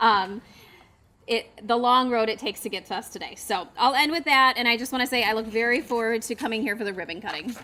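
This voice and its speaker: Loud and very fast, a woman speaks in a bright, sharp tone of fairly high pitch. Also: ordinary pitch variation. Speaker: economic development agency representative. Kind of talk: public speech at ceremony.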